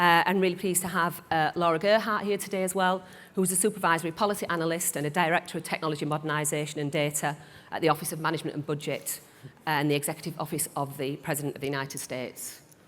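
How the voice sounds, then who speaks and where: Very fast and in a northern English accent, a woman talks at a fairly low pitch with fairly even intonation. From northern England. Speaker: panel moderator. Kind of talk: panel moderation. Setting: conference stage with audience.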